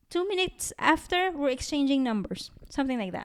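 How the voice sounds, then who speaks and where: A moderate pace in a Filipino accent on a very clean recording with a silent background. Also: woman. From Philippines. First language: Tagalog. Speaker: podcast co-host. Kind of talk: casual chat.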